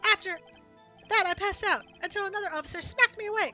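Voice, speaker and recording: Over faint music in the background, a woman rattles off lines at a very fast pace in a squeaky, put-on character voice. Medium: game stream. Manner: eager, says sir constantly.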